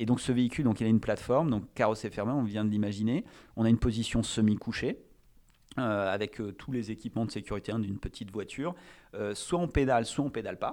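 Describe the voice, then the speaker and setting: A man talks very fast. His voice sits at medium pitch with ordinary pitch variation. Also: very clean recording, silent background. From France, Charente (Cognac). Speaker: entrepreneur. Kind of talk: interview. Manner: hesitant, many fillers.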